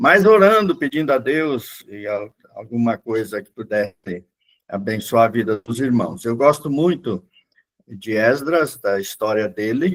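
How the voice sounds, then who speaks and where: A man at a medium pitch talks at a fairly slow pace, with lively intonation and big swings in loudness. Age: 60s. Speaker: pastor. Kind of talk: Bible class lecture. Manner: casual, halting with fillers.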